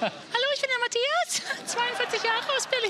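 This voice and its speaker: A squeaky, put-on character voice at a moderate pace over noticeable background noise. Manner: playful, jokey.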